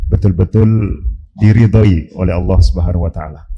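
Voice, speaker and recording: A man talks at a moderate pace with a dark, mellow tone. His voice carries vocal fry. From Java, Indonesia. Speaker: Islamic preacher. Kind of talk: religious lecture. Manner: hesitant with frequent fillers.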